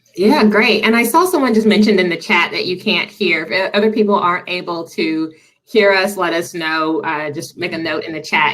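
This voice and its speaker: Over noticeable background noise, a woman with a slight Southern US accent speaks fairly quickly, with ordinary pitch variation. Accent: slight Southern twang. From Tennessee, Nashville. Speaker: diversity and inclusion nonprofit director. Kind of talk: webinar presentation. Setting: video call.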